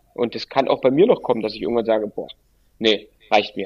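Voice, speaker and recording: In an ordinary speaking voice, a man talks at medium pitch with ordinary pitch variation. The recording is dry and close, with no echo. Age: 30s. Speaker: football coach. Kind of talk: interview.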